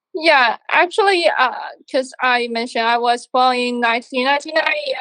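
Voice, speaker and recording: A woman's voice at a high pitch. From China. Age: 20s. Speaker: composer, music student. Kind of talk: interview. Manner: halting.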